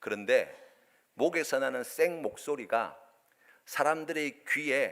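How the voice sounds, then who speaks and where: A man talks very slowly in a very clean recording where the background is silent. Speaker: pastor. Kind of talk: sermon. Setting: church.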